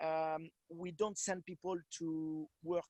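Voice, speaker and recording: A man with a French accent speaks at a high pitch with fairly even intonation. The sound is dry and close, with no echo. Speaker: wine producer. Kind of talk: product presentation. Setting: video call. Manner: halting.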